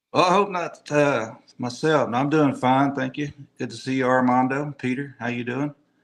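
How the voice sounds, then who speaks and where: A man with a Texan accent, medium pitch, fairly even intonation and a moderate pace. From Texas, Austin area. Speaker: tournament angler. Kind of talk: interview.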